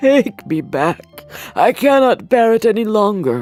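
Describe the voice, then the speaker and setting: A put-on character voice, fairly high in pitch, runs at a moderate pace over faint music in the background. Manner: broken, anguished.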